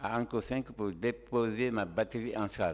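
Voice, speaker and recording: In a very clean recording with a silent background, a man speaks at a very slow pace and medium pitch. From Guinea (Tougué, Fouta Djallon). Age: 70s. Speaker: shooting victim, driver. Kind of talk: court testimony. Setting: courtroom.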